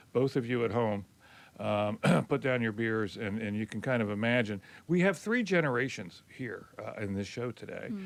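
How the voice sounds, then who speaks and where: In an American accent, a man with a normal speaking voice talks at a moderate pace, with a medium pitch and ordinary pitch variation. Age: 60s. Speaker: college radio host and professor. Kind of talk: casual panel discussion.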